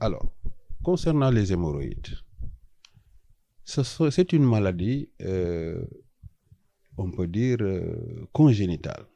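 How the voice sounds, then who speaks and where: A man's fairly low, dark, mellow voice in a Senegalese accent, very slow, with very wide pitch swings and long, frequent pauses. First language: Wolof (speaking French). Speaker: traditional healer. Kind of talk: interview. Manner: hesitant, many fillers.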